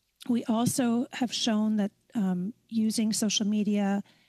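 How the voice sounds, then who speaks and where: A woman's somewhat breathy voice with fairly even intonation against a quiet background. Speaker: witness. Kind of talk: testimony answer. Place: home room. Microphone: headset.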